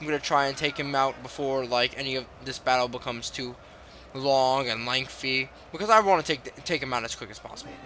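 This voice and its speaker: Noticeable background noise is present throughout. The man's medium pitch shifts in an ordinary way. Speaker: gamer. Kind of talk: gameplay commentary. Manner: casual.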